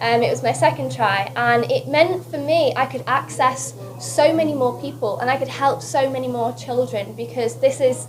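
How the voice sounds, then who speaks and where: A woman talks at a fairly quick pace, with noticeable background noise and audible room echo around her. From northern England, West Lancashire. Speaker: beauty queen. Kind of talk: press conference interview. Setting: press conference. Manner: animated.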